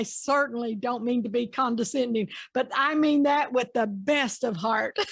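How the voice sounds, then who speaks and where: A woman with a Southern US accent speaks at a fairly slow pace in a high voice with ordinary pitch variation, on a very clean recording with a silent background. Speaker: interviewer. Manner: warm, folksy.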